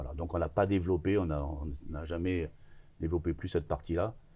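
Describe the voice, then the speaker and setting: A man talks fairly slowly in a very deep, low voice with a dark, mellow tone, somewhat breathy and with fairly even intonation. The recording is very clean, with a silent background. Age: 60s. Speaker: business owner in construction. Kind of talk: interview conversation. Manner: hesitant, many filler sounds.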